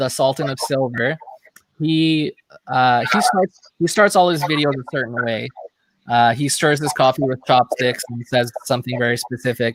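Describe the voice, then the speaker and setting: Dry, close sound with no echo carries a man with a Michigan accent, speaking at medium pitch and a moderate pace with ordinary pitch variation. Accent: sounds like someone from Michigan. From Canada (Toronto area). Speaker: beard product reviewer. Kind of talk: casual chat. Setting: live stream video call.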